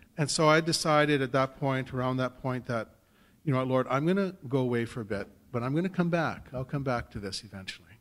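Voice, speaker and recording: Here a man talks at a very fast pace. He has a Canadian accent. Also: ordinary pitch variation. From Saskatchewan, Canada. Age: 50s. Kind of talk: personal testimony talk. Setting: stage with audience. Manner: conversational, hesitant with fillers. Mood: warm, joyful, light humour. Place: hall. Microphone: podium.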